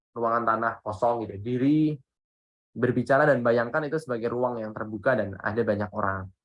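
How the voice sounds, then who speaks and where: Here is a man at a medium pitch. He has a plain, everyday voice. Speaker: public speaking trainer. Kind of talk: workshop talk. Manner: casual, conversational.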